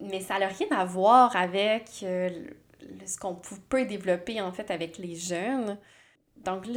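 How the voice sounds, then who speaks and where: The woman speaking has ordinary pitch variation. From Quebec, Abitibi-Témiscamingue. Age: 30s. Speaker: psychologist and podcast host. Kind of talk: casual solo monologue. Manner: hesitant, many fillers.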